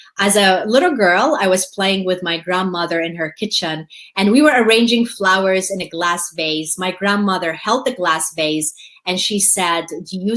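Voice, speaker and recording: A woman with a Middle Eastern accent, medium in pitch, lively in intonation, at a fairly slow pace. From Jordan. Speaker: motivational speaker. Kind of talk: webinar Q&A. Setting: live webinar.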